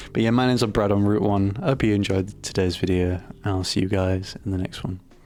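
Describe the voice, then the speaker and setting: The voice carries a British accent and fairly even intonation. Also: man. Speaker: gaming YouTuber. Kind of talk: casual vlog talk to camera. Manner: monotone; mumbling, halting.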